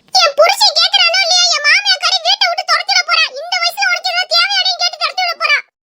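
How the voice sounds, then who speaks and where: In a cartoonish character voice, a woman speaks at a fairly quick pace with an extremely high pitch. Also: lively intonation, dry, close sound with no echo. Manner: loud, exclamatory.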